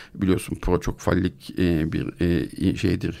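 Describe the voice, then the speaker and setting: Heard on a very clean recording against total silence, this man has a very deep, low voice. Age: 50s. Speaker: psychiatrist and podcast co-host. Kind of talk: casual discussion.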